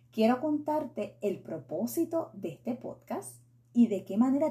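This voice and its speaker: A woman speaks in a Puerto Rican accent at a fairly high pitch and a fairly slow pace, with a dark, mellow tone. Her pitch swings are very wide and her voice shows vocal fry. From Puerto Rico. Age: 40s. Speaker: faith and beauty podcaster. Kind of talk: solo podcast monologue.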